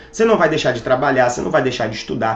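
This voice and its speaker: Through noticeable background noise, a man's voice moves in very wide pitch swings. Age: 30s. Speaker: fitness coach. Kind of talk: motivational talk.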